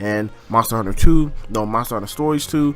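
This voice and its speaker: Music plays in the background as a man talks. His pitch is medium and his pace fairly quick. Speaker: gaming YouTuber. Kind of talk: casual vlog talk to camera. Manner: stuttering; excited, animated.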